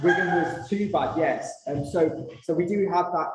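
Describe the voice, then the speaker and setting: Audible room echo and noticeable background noise around a man speaking at a moderate speed. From northern England. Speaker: consultant writing a legacy plan. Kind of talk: workshop presentation. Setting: room with audience and video call. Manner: hesitant, many fillers.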